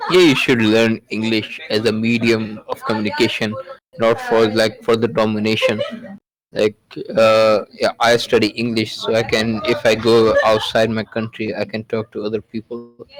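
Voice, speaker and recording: Delivered at a moderate pace, the voice is monotone and flat, with a dry, close sound and no echo. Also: man, medium pitch for a man. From Pakistan. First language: Urdu. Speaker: podcast guest. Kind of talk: casual chat. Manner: halting.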